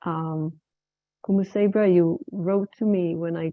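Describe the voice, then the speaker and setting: A woman with an Israeli accent speaks at a very slow pace. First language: Hebrew. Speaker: women's circle facilitator. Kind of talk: facilitated circle sharing.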